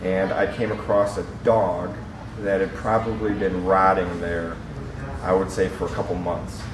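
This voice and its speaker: A fairly low-pitched man with a northern US accent, fairly even intonation and a fairly slow pace, amid audible room echo and noticeable background noise. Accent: northern US (Yankee). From Michigan. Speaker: plumber. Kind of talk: interview. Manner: hesitant, many fillers.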